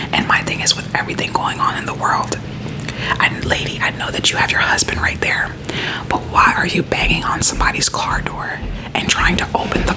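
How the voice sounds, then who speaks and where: A woman's whispering at a fairly quick pace with noticeable background noise. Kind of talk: ASMR friend-roleplay whisper rant, casual talk to camera. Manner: whispered, conversational, chatty.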